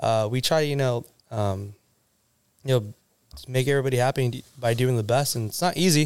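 This man, with an American accent and a medium pitch, talks at a fairly quick pace with ordinary pitch variation, broken up by long, frequent pauses. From Southern California. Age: 20s. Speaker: car meet organizer. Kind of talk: casual chat. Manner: laughs often.

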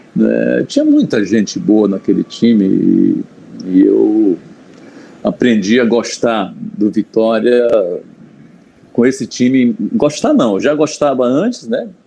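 Loudness stays very even at a very slow pace. Long, frequent pauses break up the speech. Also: man. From Bahia interior, Brazil. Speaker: journalist and Vitória fan. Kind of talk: casual interview chat.

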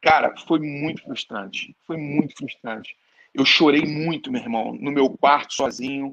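With an ordinary speaking voice, a man talks in a fairly high pitch at a fairly slow pace with ordinary pitch variation. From Rio de Janeiro, Brazil. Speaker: network marketing entrepreneur. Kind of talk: interview.

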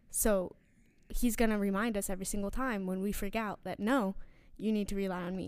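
A woman with an American accent speaks in a normal speaking voice. Her pitch is medium and her intonation fairly even. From New York. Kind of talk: casual faith chat.

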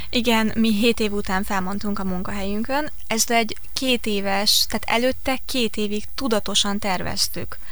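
A woman speaks at a fairly slow pace with hardly any pauses, her pitch fairly high and her loudness very even. Her intonation is fairly even, and there is noticeable background noise. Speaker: travel writer and tour organiser. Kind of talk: radio interview. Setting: studio.

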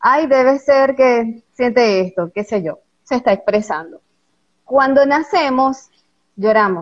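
A woman speaking at a fairly slow pace with lively intonation. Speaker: lawyer and voice coach. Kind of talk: interview, explanatory talk. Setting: live stream with online audience.

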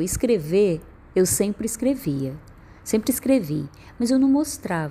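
With a dark, mellow and somewhat breathy tone, a woman talks at a moderate pace with very wide pitch swings. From Northeast Brazil (Piauí). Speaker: poet and performer. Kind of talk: personal storytelling monologue.

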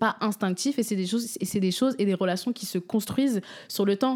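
A woman's dark, mellow voice at medium pitch, with ordinary pitch variation and a fairly quick pace. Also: very clean recording, silent background. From France, Seine-et-Marne (77). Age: 20s. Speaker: geography student, nail artist and music artist. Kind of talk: casual chat.

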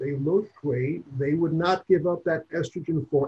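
His voice carries a somewhat breathy quality. This male speaker talks at a moderate pace. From New York. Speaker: gynecologist. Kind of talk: interview.

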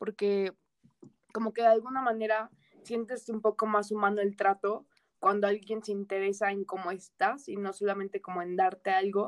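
In a dry, close sound with no echo, a fairly high-pitched woman speaks at a moderate pace with monotone, flat intonation. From Mexico, Toluca. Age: young. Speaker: university student. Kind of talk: interview. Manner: casual.

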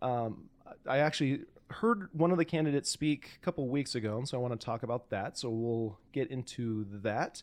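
Speech runs at a moderate pace with hardly any pauses. Pitch varies in an ordinary way. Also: man, medium pitch for a man. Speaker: podcast host. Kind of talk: casual chat. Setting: studio. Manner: loud.

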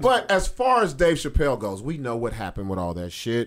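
A man is speaking. His intonation is lively. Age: 40s. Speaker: podcast host and comedian. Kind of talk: casual chat. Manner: animated.

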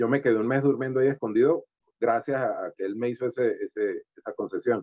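Speaking at a fairly quick pace, a man has a medium pitch and a plain, everyday voice. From Venezuela, Valera (Trujillo state). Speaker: sculptor and comedian. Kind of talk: interview.

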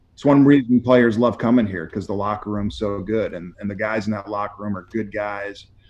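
Speaking at a moderate pace, a man with an American accent has an unremarkable speaking voice and a fairly low pitch. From northern US. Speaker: football coach. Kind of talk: interview.

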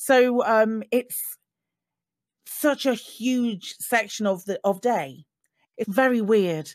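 A woman talks at a very slow pace, leaving long, frequent pauses. The recording is very clean, with a silent background. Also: fairly high pitch for a woman, ordinary pitch variation. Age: 20s. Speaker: streamer and content creator. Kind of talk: casual chat.

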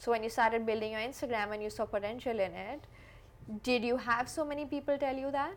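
The voice moves through an ordinary range of pitch and runs at a very fast pace. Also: woman, high pitch for a woman. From India. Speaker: podcast host. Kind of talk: interview conversation. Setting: studio in Mumbai.

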